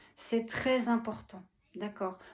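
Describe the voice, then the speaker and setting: A woman speaks at a very slow pace. Her voice is fairly high and somewhat breathy. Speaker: spiritual channeler. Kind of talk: spiritual message. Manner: warm, affectionate.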